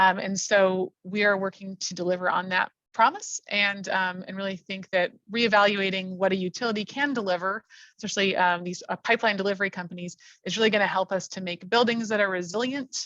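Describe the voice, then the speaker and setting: In a dry, close recording with no echo, a woman with a bright, sharp tone and medium pitch talks fairly quickly with fairly even intonation. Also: quiet background. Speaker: utility environmental policy director. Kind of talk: webinar presentation. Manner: fast; hesitant, many fillers.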